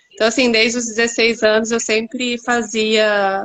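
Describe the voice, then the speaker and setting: A woman speaks at a fairly slow pace in a fairly high pitch. She has a São Paulo interior accent. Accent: caipira (rhotic r of São Paulo countryside). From interior of São Paulo state. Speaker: actress, former architect. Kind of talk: live stream panel interview.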